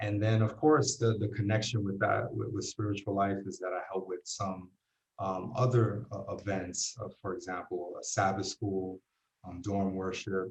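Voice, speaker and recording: Speaking with a New York accent, a man talks at a moderate pace with fairly even intonation. His voice is fairly low and somewhat breathy. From New York City, Puerto Rican family. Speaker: university residence dean and associate chaplain. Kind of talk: interview. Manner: halting, many fillers.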